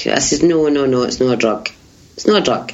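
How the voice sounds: Audible room echo surrounds a woman talking at a moderate pace.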